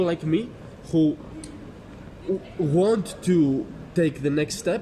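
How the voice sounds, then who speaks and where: Male voice with a Greek accent, ordinary pitch variation, audible room echo and noticeable background noise. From Greece. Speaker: passerby interviewed on the street. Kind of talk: street conversation. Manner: halting.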